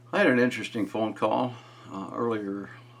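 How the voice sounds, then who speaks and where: A man amid noticeable background noise. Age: 70s. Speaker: retired YouTuber sharing family history. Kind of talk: casual vlog monologue. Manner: halting, many fillers.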